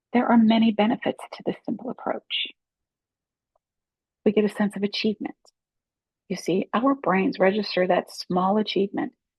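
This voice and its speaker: A woman speaks in a gentle, somewhat breathy tone at medium pitch with ordinary variation, keeping a moderate pace broken by long, frequent pauses. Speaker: life coach. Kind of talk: casual talk to camera. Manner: gentle, encouraging.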